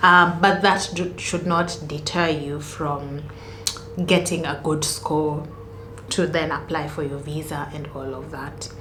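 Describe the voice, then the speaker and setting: A woman's very deep, low voice with a Kenyan accent, very slow pace and fairly even intonation, amid audible room echo and noticeable background noise. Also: big swings in loudness. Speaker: student vlogger. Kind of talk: casual tutorial vlog.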